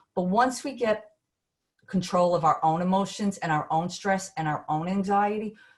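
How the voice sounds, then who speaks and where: A woman speaks with a New York accent. Her voice is somewhat breathy. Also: quiet background. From Brooklyn, New York. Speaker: business consultant. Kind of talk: webinar presentation. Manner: animated.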